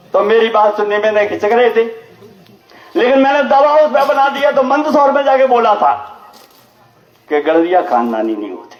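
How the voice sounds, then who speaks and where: Amid noticeable background noise and audible room echo, a man with an extremely high pitch speaks with lively intonation and long, frequent pauses. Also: moderate pace. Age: 70s. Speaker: lawyer and community politician. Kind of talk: public speech at community gathering. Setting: community gathering at temple with audience. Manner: forceful, rousing.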